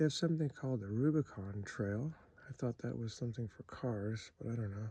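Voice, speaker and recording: Against a quiet background, a soft-spoken man with a medium pitch talks in a dark, mellow tone that is somewhat breathy. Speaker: camping vlogger. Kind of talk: casual walking vlog tour. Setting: outdoors at a campground. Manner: soft-spoken, talking quietly.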